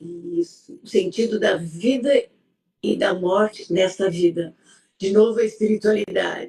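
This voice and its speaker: Somewhat breathy and dark, mellow in tone, a woman speaks at medium pitch and a fairly slow pace with ordinary pitch variation. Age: 70s. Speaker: psychologist. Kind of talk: interview conversation. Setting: live stream.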